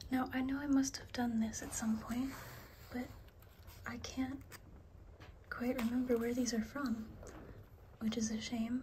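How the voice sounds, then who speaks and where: Soft-spoken and relaxed in tone, a woman speaks at a high pitch and a fairly slow pace, her intonation monotone and flat, with long, frequent pauses. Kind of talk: ASMR book show-and-tell. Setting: home recording with a basic microphone, light rain sounds. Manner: soft-spoken, relaxed.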